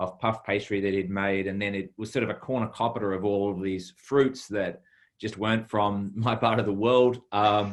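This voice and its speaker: Fairly low and monotone, a man's voice carries a New Zealand accent. His intonation stays flat at a moderate pace. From New Zealand, Taranaki (rural). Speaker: chef. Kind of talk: interview. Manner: halting.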